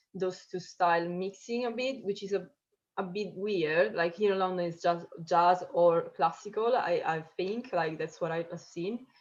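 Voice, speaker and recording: With ordinary pitch variation and an Italian accent, a woman speaks at a moderate pace. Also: medium pitch for a woman. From Italy, Sicily. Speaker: drummer. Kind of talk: casual interview. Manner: hesitant, many fillers.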